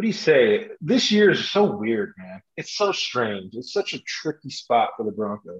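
Speaking fairly slowly with hardly any pauses, a man uses a fairly high pitch with vocal fry, very wide pitch swings and big swings in loudness. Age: 40s. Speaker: football fan. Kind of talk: casual chat. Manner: animated.

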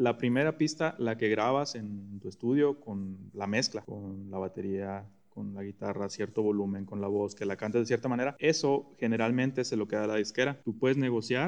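Speaking with hardly any pauses, a man with a Mexican accent keeps a medium pitch and ordinary pitch variation. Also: moderate pace. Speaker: podcast co-host. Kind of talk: casual chat.

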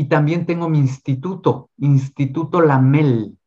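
A somewhat breathy voice with a Mexico City accent, speaking at a fairly slow pace. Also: man. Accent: Mexican Spanish (Mexico City). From Mexico City, Mexico. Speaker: tarot reader and esoteric speaker. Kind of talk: casual interview.

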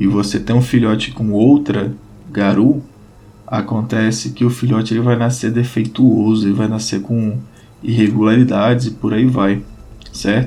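At a fairly slow pace, a man talks with medium pitch and ordinary pitch variation over noticeable background noise. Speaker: podcast host and RPG game master. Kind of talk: solo explanatory podcast. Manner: casual and chatty.

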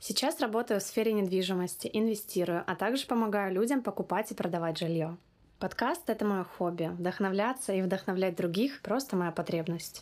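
A woman with an ordinary speaking voice talks at a medium pitch, with ordinary pitch variation and very even loudness. The recording is very clean, with a silent background. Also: moderate pace. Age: 20s. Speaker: podcast host. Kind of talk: scripted monologue.

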